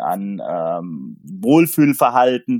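The recording is very clean, with a silent background and a dry, close sound with no echo. A man speaks at a very slow pace. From Palatinate, Germany (near Pirmasens). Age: 50s. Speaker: sports goods sales agent. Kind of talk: casual chat.

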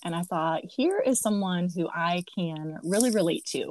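A woman's unremarkable speaking voice, medium in pitch, with ordinary pitch variation. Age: 40s. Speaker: podcast host. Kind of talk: casual interview chat; scripted intro narration.

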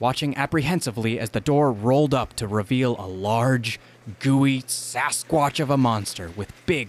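In an unforced reading voice, the pitch variation is ordinary.

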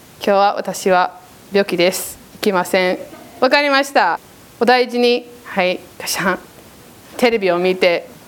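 A woman with an English accent at a medium pitch and ordinary pitch variation, a fairly slow pace with long, frequent pauses, big swings in loudness, and noticeable background noise. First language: English (speaking Japanese). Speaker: preacher. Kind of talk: sermon.

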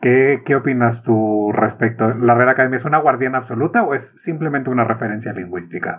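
At a fairly quick pace with hardly any pauses, a man talks at a medium pitch with ordinary pitch variation. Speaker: podcast host. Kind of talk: interview.

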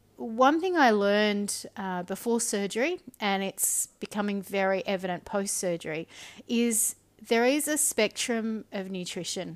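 A woman at medium pitch with an Australian accent, fairly slow, on a very clean recording with a silent background. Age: 40s. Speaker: podcast host. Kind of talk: solo monologue podcast. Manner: flat.

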